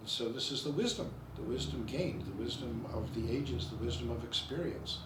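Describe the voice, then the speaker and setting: There is audible room echo and noticeable background noise as a man speaks fairly quickly with lively intonation. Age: 70s. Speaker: school founder and headmaster of a wizardry school. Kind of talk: ceremonial speech. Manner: halting, with many fillers and restarts.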